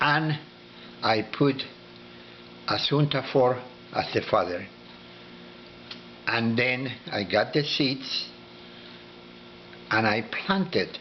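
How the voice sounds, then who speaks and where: A man's medium-pitched voice at a very slow pace, with ordinary pitch variation, long, frequent pauses and noticeable background noise. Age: 80s+. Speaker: dragon fruit breeder. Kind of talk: informal talk. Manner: halting.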